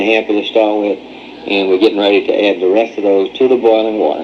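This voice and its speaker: Very fast and fairly low in pitch, a man talks with fairly even intonation over noticeable background noise. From New Orleans area, Louisiana. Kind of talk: home instructional narration.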